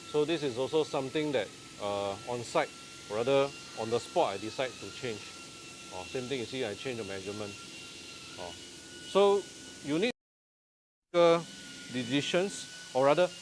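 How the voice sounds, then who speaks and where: The speaker moves at a moderate pace with lively intonation in a Singaporean accent. Long, frequent pauses break up the speech. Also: man, medium pitch for a man. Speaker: renovation contractor and interior designer. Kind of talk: casual live stream walkthrough. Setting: countertop fabrication factory, live video. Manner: animated.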